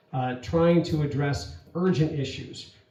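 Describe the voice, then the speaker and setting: Noticeable background noise accompanies a man's voice. Audible room echo surrounds him. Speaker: congressional candidate. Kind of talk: candidate forum answer. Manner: fast.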